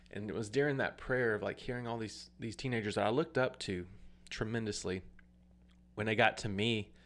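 Using an unremarkable speaking voice with an American accent, a man talks at a fairly quick pace with ordinary pitch variation on a very clean recording with a silent background. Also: medium pitch for a man. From US South, Alabama. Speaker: worship leader and former youth pastor. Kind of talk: personal testimony.

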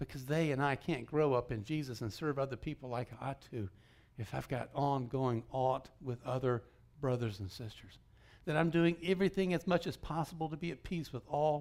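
In a plain, everyday voice, a man with an American accent talks at a fairly high pitch with lively intonation. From US South (Georgia). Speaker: guest preacher. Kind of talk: sermon.

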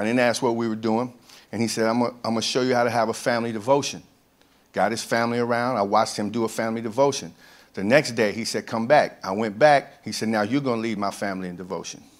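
The recording is very clean, with a silent background. A man speaks at a very fast pace with fairly even intonation. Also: medium pitch for a man. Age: 50s. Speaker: camp ministry director. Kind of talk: testimony. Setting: church with congregation.

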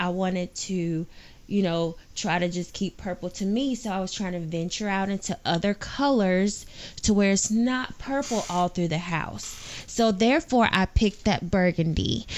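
A normal speaking voice with ordinary pitch variation, moving at a moderate pace. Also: woman, medium pitch for a woman. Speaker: podcast co-host, parent. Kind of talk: casual family chat. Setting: home studio.

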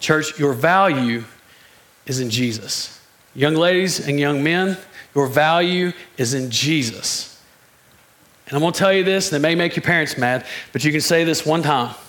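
Audible room echo surrounds a man who speaks with ordinary pitch variation and long, frequent pauses. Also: fairly high pitch for a man, moderate pace. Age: 40s. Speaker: preacher. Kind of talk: sermon. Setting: church. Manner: animated.

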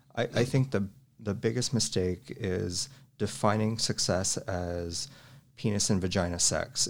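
Fairly low pitch from a man with ordinary pitch variation, at a fairly slow pace, in a very clean recording with a silent background. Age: 30s. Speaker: lifestyle practitioner interviewed. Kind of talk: casual chat. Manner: halting, frequent repeated words.

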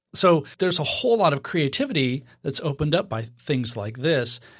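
In a very clean recording with a silent background, a man with an American accent talks at a moderate pace in a normal speaking voice with ordinary pitch variation. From Idaho, US. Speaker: photography podcast co-host. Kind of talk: casual chat.

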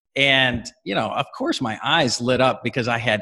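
A man speaks in an ordinary speaking voice at a medium pitch. His pace is moderate, and the background is quiet. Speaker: company CEO. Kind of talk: casual interview.

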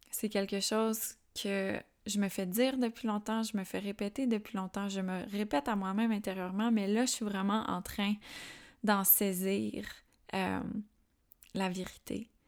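With long, frequent pauses, a woman speaks in a calm tone at a medium pitch with fairly even intonation in a very clean recording with a silent background. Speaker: podcast host and spiritual channeler. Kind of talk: spiritual monologue. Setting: home.

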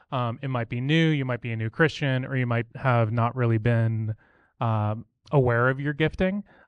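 Against a quiet background, a man has a plain, everyday voice at a medium pitch with ordinary pitch variation and a dry, close sound with no echo. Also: moderate pace. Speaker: church member. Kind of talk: testimony. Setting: church. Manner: casual.

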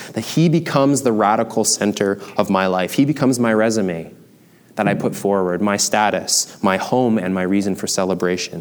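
Speaking at a moderate pace, a man with a Canadian accent has an unremarkable speaking voice, fairly low in pitch with ordinary pitch variation. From Canada, small town. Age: 30s. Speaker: pastor. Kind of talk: sermon.

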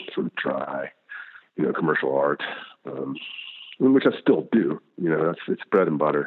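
A man with a slight Southern US accent speaks at a moderate pace. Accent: slight Southern twang. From US South. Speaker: illustrator. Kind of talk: interview. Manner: polite; halting.

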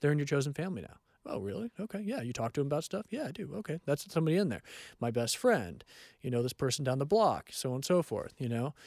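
A man's fairly high-pitched voice with an American accent, very fast and with very wide pitch swings, in a dry, close sound with no echo on a very clean recording over a silent background. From California. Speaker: counselor. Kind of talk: casual chat.

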